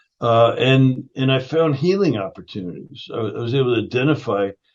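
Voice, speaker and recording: An ordinary speaking voice with lively intonation. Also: man. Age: 60s. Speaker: functional nutrition educator and founder. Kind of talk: interview conversation.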